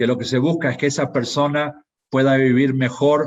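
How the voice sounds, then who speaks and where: Speaking at a moderate pace, a man has a fairly high pitch. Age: 60s. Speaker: pharmaceutical industry executive. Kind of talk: conference talk. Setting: live online conference. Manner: hesitant, with fillers and repetitions.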